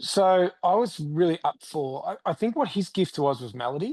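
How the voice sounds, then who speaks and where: High-pitched male speech in an Australian accent, animated in tone with very wide pitch swings, at a fairly slow pace, dry and close with no echo. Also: quiet background. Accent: Australian, leaning into it. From Australia, rural Victoria. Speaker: country singer-songwriter. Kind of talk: interview.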